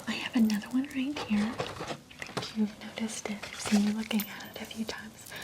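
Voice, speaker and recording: In a calm tone with fairly even intonation, the speaker talks over noticeable background noise. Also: woman. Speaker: ASMR creator. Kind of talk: ASMR roleplay, paint consultation. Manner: soft-spoken, calm.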